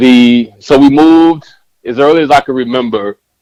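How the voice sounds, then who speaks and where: Music plays in the background of this dry, close recording with no echo, where the speech moves at a moderate pace. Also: man. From mixed upbringing: South Carolina, Texas, Germany (military-style moves). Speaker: educator and author, podcast guest. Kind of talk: casual interview conversation.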